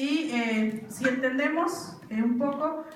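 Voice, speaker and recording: A woman speaks with a high pitch and ordinary pitch variation. Noticeable background noise and audible room echo are present. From Mexico, Mixe region of Oaxaca. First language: Mixe (speaking Spanish). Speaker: linguist. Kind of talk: lecture. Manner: halting, many fillers.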